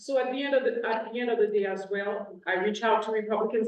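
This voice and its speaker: Someone with a Haitian accent talks at a fairly quick pace with ordinary pitch variation over noticeable background noise. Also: woman. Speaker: state legislator. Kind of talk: panel discussion.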